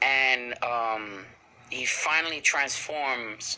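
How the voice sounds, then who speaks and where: Fairly even intonation and a slight Spanish accent come through over noticeable background noise. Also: man. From Puerto Rican heritage. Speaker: anime reviewer. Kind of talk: casual episode review recap. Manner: halting, many fillers.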